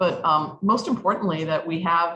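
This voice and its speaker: A woman speaks at a fairly low pitch with a bright, sharp tone. Her intonation is fairly even. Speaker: mayor. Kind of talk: public briefing to constituents. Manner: fast.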